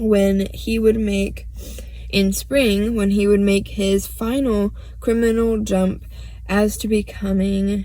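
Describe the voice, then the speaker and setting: The woman speaks at a very slow pace. Room echo is audible around her. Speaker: true crime vlogger. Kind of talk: casual monologue. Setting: in a car. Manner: halting, stuttering.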